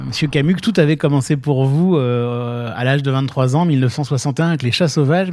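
A fairly high male voice with ordinary pitch variation amid noticeable background noise. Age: 40s. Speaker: podcast host. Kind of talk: interview.

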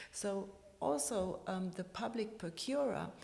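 Audible room echo surrounds the voice. A woman speaks at a very slow pace. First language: German. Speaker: architect, president of a professional body. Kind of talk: interview. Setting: office building.

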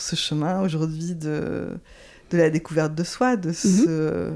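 A woman with a fairly low voice talks at a very slow pace in a very clean recording over a silent background. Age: 50s. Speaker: astrology coach. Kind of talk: interview conversation. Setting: at the guest's home.

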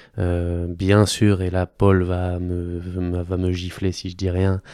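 A man's very deep, low voice, dark and mellow, monotone and flat at a very slow pace, on a very clean recording with a silent background. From Normandy, France (Caen). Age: 30s. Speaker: sports physician. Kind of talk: casual interview. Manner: halting.

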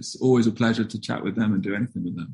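This is a man speaking. He talks with a southern English accent. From southern England, London commuter belt. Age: 20s. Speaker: skateboarder and writer. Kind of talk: interview conversation.

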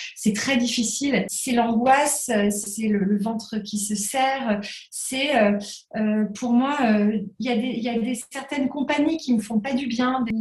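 Very slowly and with fairly even intonation, a woman speaks at a fairly high pitch. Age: 30s. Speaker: entrepreneur in the crafts sector. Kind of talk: interview.

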